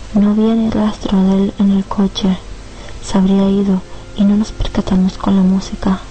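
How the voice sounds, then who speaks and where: A woman talks at a moderate pace and very even loudness in a monotone, flat intonation, with noticeable background noise behind her. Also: medium pitch for a woman. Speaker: storyteller reading her own horror story. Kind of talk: dramatic narration of a horror story, with a villain's menacing lines. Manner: suspenseful, tense and hushed; theatrical, ominous and menacing in the killer's lines.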